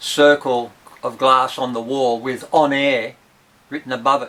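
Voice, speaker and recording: This man has an Australian accent and a bright, sharp tone. He speaks at a fairly slow pace. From Tasmania, Australia. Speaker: rock musician and farmer. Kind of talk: storytelling.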